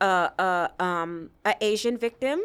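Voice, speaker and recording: A loud woman's voice with a bright, sharp tone sits at a medium pitch with ordinary pitch variation. The recording is very clean, the background silent. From Jamaica. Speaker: sex trade survivor and advocate. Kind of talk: podcast interview.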